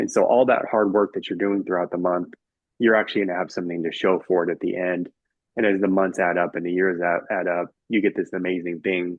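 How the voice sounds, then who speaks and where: Fairly quick speech comes from a man with an American accent. His voice is very deep and low in pitch, with monotone, flat intonation. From California, San Francisco Bay Area. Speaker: author and finance guest. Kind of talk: podcast interview.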